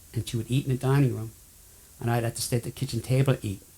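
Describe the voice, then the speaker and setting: Somewhat breathy, the voice has a dark, mellow tone and a monotone, flat intonation. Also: man. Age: 70s. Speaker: person with chemical sensitivity. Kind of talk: testimony.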